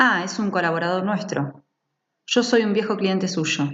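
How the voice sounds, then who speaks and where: The speaker has an Argentine accent. The pace is very slow. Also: woman. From Argentina. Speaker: audiobook narrator. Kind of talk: literary short story reading.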